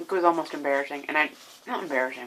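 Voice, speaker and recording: Soft-spoken and at a fairly quick pace, a woman talks in a very deep, low pitch. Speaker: video diarist with bipolar disorder. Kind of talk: personal video diary. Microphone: may be too quiet.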